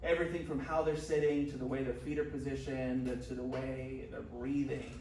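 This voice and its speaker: Fairly quick speech from a man amid noticeable background noise and audible room echo. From Chicago suburbs, US Midwest. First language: Spanish. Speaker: police officer. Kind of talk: interview. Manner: fast.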